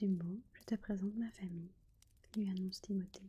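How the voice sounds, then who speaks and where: Soft-spoken delivery at a very slow pace. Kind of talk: bedtime story reading (ASMR).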